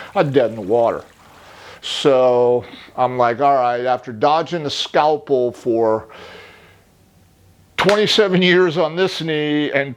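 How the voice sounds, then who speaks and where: Speaking at a moderate pace with ordinary pitch variation, this man has an unremarkable speaking voice pitched fairly high. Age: 60s. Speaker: patient, judo and jiu-jitsu competitor and coach. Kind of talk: testimonial interview. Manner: casual, conversational.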